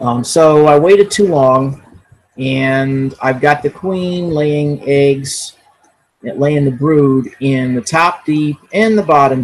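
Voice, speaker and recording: A man talks at a very slow pace with ordinary pitch variation. The background is quiet. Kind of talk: casual explanation. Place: kitchen. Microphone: webcam.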